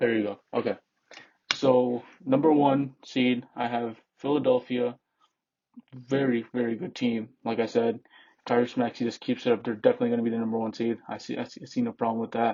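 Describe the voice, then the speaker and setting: Speaking at a fairly quick pace, a man keeps a medium pitch and a monotone, flat intonation. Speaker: sports YouTuber. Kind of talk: casual commentary. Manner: halting, repetitive.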